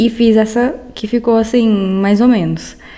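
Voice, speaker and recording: A soft-spoken woman talks at a fairly slow pace with fairly even intonation. There is noticeable background noise. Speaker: artist vlogger. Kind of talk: casual art vlog narration. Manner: soft-spoken, speaking quietly.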